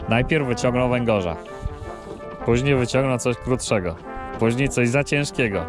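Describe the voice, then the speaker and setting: The speech comes at a fairly slow pace, with a dry sound and no echo. Clear music plays in the background. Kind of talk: casual vlog chat. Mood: wry, joking. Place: boat. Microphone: phone near.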